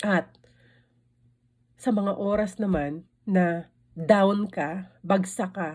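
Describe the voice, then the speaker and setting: This woman's voice sits at a medium pitch. There is a somewhat breathy quality to it. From Philippines. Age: 50s. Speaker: vlogger. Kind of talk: casual vlog talk. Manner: halting.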